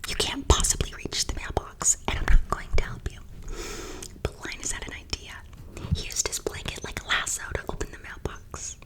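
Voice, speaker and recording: A woman whispers at a moderate pace with big swings in loudness, against noticeable background noise. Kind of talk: children's book reading. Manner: whispered.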